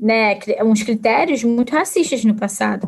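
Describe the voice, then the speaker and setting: Speaking at a fairly slow pace, a woman has an unremarkable speaking voice. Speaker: historian and teacher. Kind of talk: casual interview conversation.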